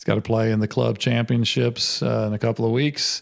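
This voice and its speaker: With a normal speaking voice, a man keeps his medium pitch under fairly even intonation. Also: very clean recording, silent background. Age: 50s. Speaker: podcast host and ministry leader. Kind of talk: casual interview chat. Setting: in a home.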